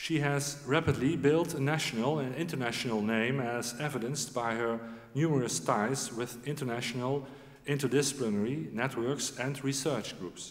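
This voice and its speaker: A man's pitch varies in an ordinary way, and his pace is moderate. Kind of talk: formal ceremony speech. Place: hall. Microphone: podium.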